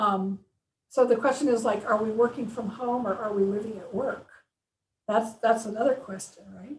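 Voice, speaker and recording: Somewhat breathy and fairly high-pitched, a woman speaks at a moderate pace with fairly even intonation and big swings in loudness. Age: 60s. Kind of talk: casual interview.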